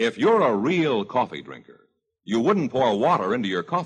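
Showing vocal fry, a man speaks in a warm, upbeat tone with very wide pitch swings. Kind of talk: radio commercial, sponsor pitch. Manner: smooth, polished, persuasive announcer delivery; warm, upbeat, 1950s radio salesman cadence.

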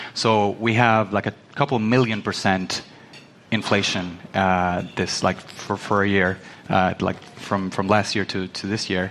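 Noticeable background noise sits behind a man talking at a fairly slow pace. His pitch is fairly low and his intonation fairly even. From Venezuela. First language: Spanish. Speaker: crypto researcher. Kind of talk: panel discussion.

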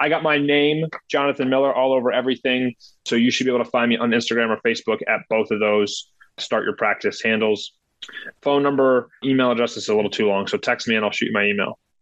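Very fast, very even in loudness, a man with a medium pitch and an American accent. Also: fairly even intonation. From Ohio. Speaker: dental practice consultant and coach. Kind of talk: interview.

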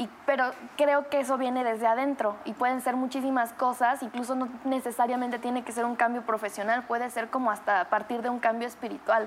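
The pace is fairly quick. Intonation stays monotone and flat. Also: woman, high pitch for a woman. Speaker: actress and singer. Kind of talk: casual chat.

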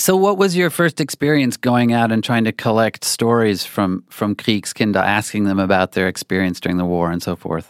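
In a very clean recording with a silent background and a dry, close sound with no echo, a man with an American accent and a plain, everyday voice speaks at a moderate pace with fairly low pitch and lively intonation. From Oklahoma. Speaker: magazine writer. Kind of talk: interview.

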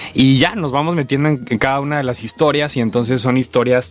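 A man speaks fairly quickly while noticeable background noise carries on. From Tabasco, Mexico. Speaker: actor. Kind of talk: interview.

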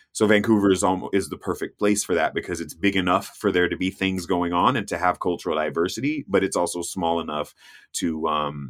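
Recorded very cleanly with a silent background, a man with an American accent speaks at a very deep, low pitch with ordinary pitch variation. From US South. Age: 40s. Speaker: travel TV host and explorer. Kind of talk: casual interview chat.

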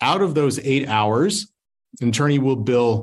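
In a normal speaking voice with an American accent, a man talks at a fairly slow pace with lively intonation. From Utah. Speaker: family law attorney. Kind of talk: presentation.

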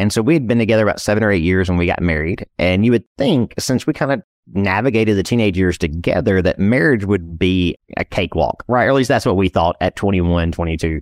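A man's fairly low-pitched, lively voice at a very fast pace with very even loudness, in a dry, close sound with no echo and a very clean recording with a silent background. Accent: East Texas. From East Texas. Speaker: financial planner and entrepreneur. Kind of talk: interview. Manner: casual, conversational.

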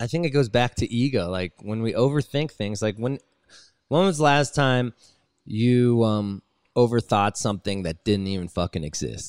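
A man speaks with an American accent, at a moderate pace and medium pitch. He has an unremarkable speaking voice, and the sound is dry and close with no echo. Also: lively intonation. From US West Coast, Los Angeles. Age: 30s. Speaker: touring rock musician, band frontman. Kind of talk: casual chat. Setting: video call.

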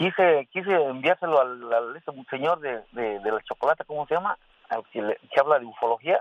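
Lively intonation carries this speech along at a moderate pace. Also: man. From Mexico, Hidalgo. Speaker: radio caller. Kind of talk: casual chat.

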